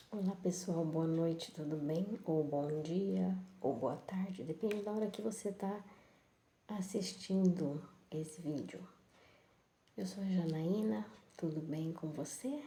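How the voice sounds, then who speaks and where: A woman with a fairly low, dark and mellow voice speaks very slowly, somewhat breathy, with long, frequent pauses. Her intonation is lively, and the room echo is audible. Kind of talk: bible reflection live. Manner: soft-spoken.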